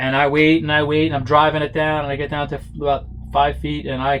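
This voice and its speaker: This man talks with a New York accent. His pitch is fairly high and his pace fairly quick. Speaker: model aircraft builder and stunt flyer. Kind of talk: casual workshop tutorial and storytelling. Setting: workshop. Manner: casual, with many fillers.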